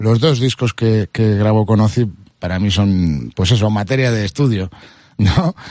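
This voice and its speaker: At a fairly slow pace, a man speaks on a very clean recording with a silent background and a dry, close sound with no echo. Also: ordinary pitch variation. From Spain, Madrid. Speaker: rock guitarist. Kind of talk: casual chat. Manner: halting, repeats words.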